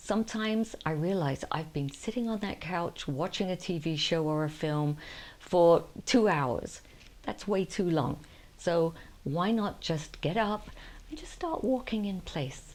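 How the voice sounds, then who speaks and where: In a plain, everyday voice, a woman speaks fairly slowly at a fairly low pitch with lively intonation. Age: 60s. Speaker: lifestyle vlogger. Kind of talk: casual talk to camera. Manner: warm, chatty.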